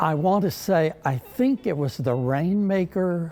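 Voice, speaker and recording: Very wide pitch swings at a very slow pace over music in the background. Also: man. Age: 80s+. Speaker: retired teacher and stage actor. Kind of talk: interview answer.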